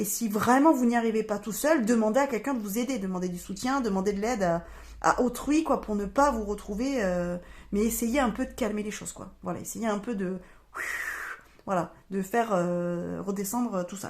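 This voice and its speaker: Her loudness swinging widely, a woman speaks at a medium pitch with ordinary pitch variation. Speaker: tarot reader and medium. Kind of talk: astrology reading / guidance monologue. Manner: fast; hesitant, many fillers.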